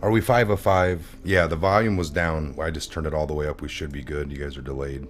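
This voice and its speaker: A man speaks very fast in a very deep, low voice, with ordinary pitch variation. Music plays in the background, and the room echo is audible. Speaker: livestream political talk show host. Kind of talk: casual live stream chat. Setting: studio. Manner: loud.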